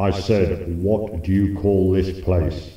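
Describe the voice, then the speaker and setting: In a cartoonish character voice, a man speaks very slowly with a very deep, low pitch and a slight echo. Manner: grandiose, easily irritated.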